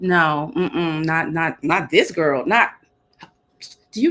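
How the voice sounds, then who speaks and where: The pace is fairly slow. A woman talks with an American accent. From Texas, Dallas. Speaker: CEO of women's leadership business. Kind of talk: podcast interview. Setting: video call. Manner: animated, laughing a lot.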